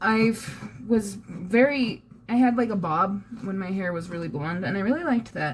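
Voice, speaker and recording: Intonation here is lively. The speech is somewhat breathy and keeps a moderate pace. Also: woman, medium pitch for a woman. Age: 20s. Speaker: vlogger. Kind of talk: casual vlog.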